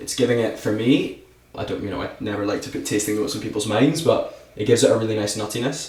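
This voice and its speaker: A man at medium pitch, very fast and fairly even in intonation, with audible room echo. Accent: Scottish. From Scotland. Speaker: whisky brand ambassador. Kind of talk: casual podcast chat, whisky tasting.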